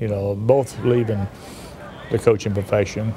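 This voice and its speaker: Against noticeable background noise, a man talks at a fairly low pitch with ordinary pitch variation. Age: 70s. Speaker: university athletics director. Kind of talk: interview. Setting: sit-down TV interview. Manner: halting.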